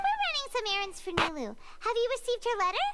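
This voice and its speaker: Through loud background noise comes a put-on character voice, squeaky and extremely high-pitched, racing at a very fast pace. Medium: video game.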